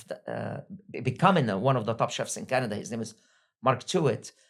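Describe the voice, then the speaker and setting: Using vocal fry, a man talks at medium pitch with lively intonation. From Egypt. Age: 60s. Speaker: restaurant entrepreneur. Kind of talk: interview.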